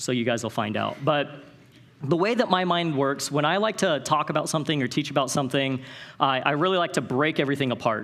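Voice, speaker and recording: Talking at a very fast pace, a man with a West Coast US accent uses a fairly high pitch and ordinary pitch variation. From Northern California. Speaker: conference speaker. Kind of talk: motivational talk. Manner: animated.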